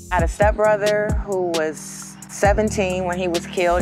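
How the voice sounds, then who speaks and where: A woman's voice in a dry sound with no echo, over clear music in the background. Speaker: spoken word poet. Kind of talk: interview answer. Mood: emotional, reflective recollection of grief. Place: street. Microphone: lapel.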